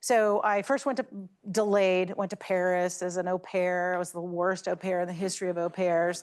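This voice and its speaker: A woman's medium-pitched voice with an American accent and fairly even intonation, over a quiet background. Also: moderate pace. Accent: Southern Virginia accent, moderated. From US South, Lynchburg, Virginia. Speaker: energy industry leader, alumna speaker. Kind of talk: talk to students. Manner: casual, halting with fillers.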